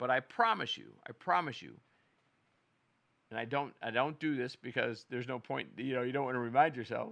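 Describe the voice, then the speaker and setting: A man speaks at a fairly quick pace with a medium pitch, vocal fry, ordinary pitch variation, and long, frequent pauses. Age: 60s. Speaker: show host, golfer. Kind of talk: casual monologue. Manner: halting, repetitive.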